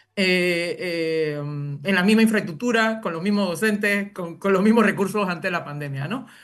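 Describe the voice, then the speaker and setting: The speaker barely pauses, with ordinary pitch variation. Room echo can be heard. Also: woman, medium pitch for a woman. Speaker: university professor and education researcher. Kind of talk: interview. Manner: fast; halting, many fillers.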